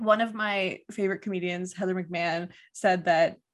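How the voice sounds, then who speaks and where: Speaking at a fairly quick pace, a woman with a Canadian accent has a plain, everyday voice, medium pitch and fairly even intonation. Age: 30s. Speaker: podcast host. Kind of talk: casual chat.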